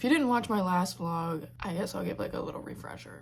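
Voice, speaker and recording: With very wide pitch swings, a woman talks in a fairly low voice against audible room echo. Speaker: vlogger. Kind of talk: casual vlog talk to camera. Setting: in her bedroom. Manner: casual, filler-heavy.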